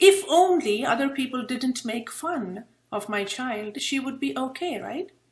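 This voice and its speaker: This woman's voice sits high in pitch. Her intonation is lively. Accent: Indian. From India. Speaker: presenter, public speaking club leader. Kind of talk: interactive workshop presentation.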